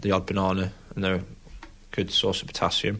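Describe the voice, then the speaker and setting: A man with a Lincolnshire accent speaks in a fairly low pitch with monotone, flat intonation. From England (Lincolnshire). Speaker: professional rugby player. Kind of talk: casual chat.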